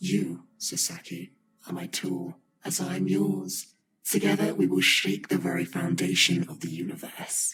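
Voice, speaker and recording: A man's put-on character voice, very deep and low in pitch, at a moderate pace with fairly even intonation and a slight echo. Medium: video game. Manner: commanding, menacing.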